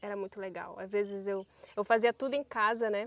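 A woman talks at a moderate pace with a medium pitch and fairly even intonation. The sound is dry, with no echo. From northern Brazil (Pará). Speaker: riverside community resident. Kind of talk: casual chat. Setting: outdoors. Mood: warm, nostalgic. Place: waterside.

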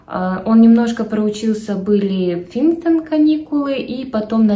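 A woman talks fairly slowly, and the room's echo can be clearly heard. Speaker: parent vlogger. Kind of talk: casual vlog chat. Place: home room. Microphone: phone near.

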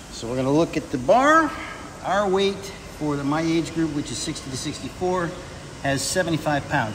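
Loud background noise fills the clip. Over it, a man speaks with ordinary pitch variation. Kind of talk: explanatory video for competition submission. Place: gym. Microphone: phone near.

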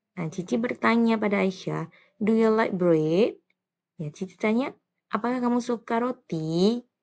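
In a normal speaking voice, a woman speaks at a fairly high pitch with ordinary pitch variation. Her pace is fairly slow. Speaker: primary school English teacher. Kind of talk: tutorial.

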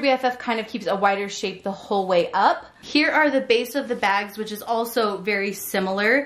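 With ordinary pitch variation, a woman's speech moves at a moderate pace. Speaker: product reviewer. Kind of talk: product comparison tutorial. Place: home room.

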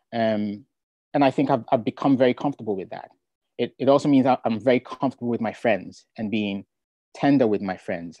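A man's dark, mellow voice at a fairly quick pace, ordinary pitch variation, dry with no echo, in a quiet background. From Ghana. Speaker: poet. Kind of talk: casual chat. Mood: relaxed, reflective. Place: home room. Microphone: earbuds.

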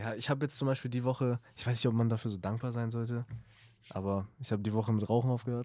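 The recording is very clean, with a silent background, as a man speaks very fast at a medium pitch. His tone is dark and mellow, and his intonation monotone and flat. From Lower Saxony, Germany (Salzgitter). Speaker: beat producer. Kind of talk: casual chat.

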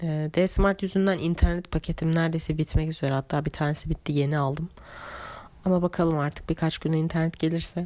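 Her voice has a dark, mellow tone and a fairly low pitch. The woman speaks at a fairly quick pace in a monotone, flat intonation. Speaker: notebook maker and vlogger. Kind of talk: casual monologue voiceover. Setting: home voice recording.

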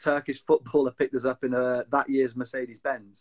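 Over a quiet background, a man with a Cumbrian accent talks at a very fast pace. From Lake District, England; England. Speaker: outdoor enthusiast; interview guest. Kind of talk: casual chat. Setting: video call. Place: home room. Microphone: video call.

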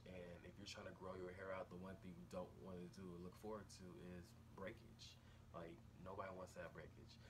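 Against noticeable background noise, a man with a very deep, low pitch talks at a fairly quick pace, somewhat breathy, with fairly even intonation. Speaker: hair care vlogger. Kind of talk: casual vlog tutorial. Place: home room. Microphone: phone near.

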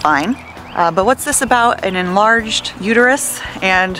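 Music plays in the background as a woman speaks with ordinary pitch variation, the sound dry with no echo. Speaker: vlogger. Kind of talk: casual vlog chat. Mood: frustrated, venting. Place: street. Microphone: earbuds.

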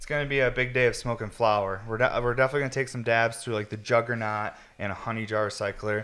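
At a very fast pace, a man speaks with fairly even intonation. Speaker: podcast host. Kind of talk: casual chat. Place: studio. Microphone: studio mic.

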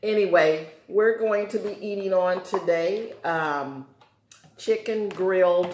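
Over light background noise and audible room echo, a woman speaks with ordinary pitch variation. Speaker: eating show host. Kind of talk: casual vlog chat. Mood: relaxed, joking. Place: home room. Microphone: camera far.

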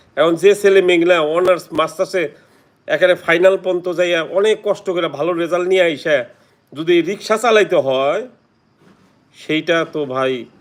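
A high-pitched man's voice with fairly even intonation. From Bangladesh. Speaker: YouTuber. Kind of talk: livestream chat.

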